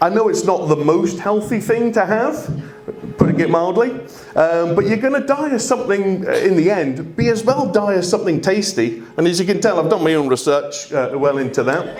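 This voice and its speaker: The voice swings very widely in pitch while its loudness stays very even. Music plays in the background, and the room echo is audible. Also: man, high pitch for a man, moderate pace. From Scotland, Aberdeen, partly raised in England. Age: 40s. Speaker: comedian. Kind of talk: stand-up. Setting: stage with audience. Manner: animated.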